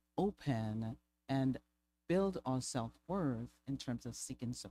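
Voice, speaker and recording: Speaking very slowly with lively intonation, a woman with a very deep, low pitch is heard in a dry, close sound with no echo. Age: 50s. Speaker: panel speaker on lived experience. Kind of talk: seminar talk. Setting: conference seminar. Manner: halting, with many repeated words.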